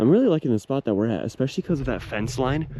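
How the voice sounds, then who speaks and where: A man with ordinary pitch variation, against a quiet background. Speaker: YouTuber. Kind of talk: vlog narration. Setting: outdoors. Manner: loud.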